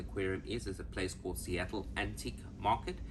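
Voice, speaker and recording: A man's very deep, low voice with vocal fry at a very fast pace, in audible room echo. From South Africa. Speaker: travel vlogger. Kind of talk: casual travel vlog. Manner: animated.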